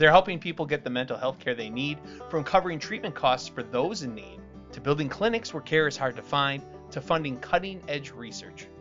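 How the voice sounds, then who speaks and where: A fairly quick pace over music in the background. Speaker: podcast host. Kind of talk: podcast sponsor read.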